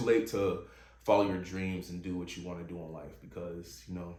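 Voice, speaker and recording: Somewhat breathy, a man talks at a moderate pace amid audible room echo. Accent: American. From Virginia. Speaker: podcast host. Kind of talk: casual monologue. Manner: halting.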